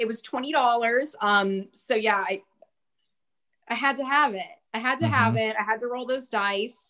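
This woman's voice is high in pitch, with ordinary variation. She talks at a moderate pace. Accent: American. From central Texas, small rural town. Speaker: podcast host guest. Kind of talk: casual interview chat.

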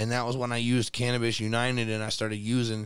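A man with an American accent talks at a fairly quick pace. His intonation is monotone and flat. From Elkhart, Indiana. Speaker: cannabis community group member. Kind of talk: casual chat. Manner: laid-back, filler-heavy.

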